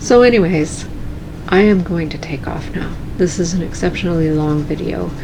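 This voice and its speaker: With noticeable background noise and audible room echo, a woman with a fairly low pitch speaks calmly at a fairly slow pace. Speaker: cross stitch video creator. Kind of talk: casual vlog talk.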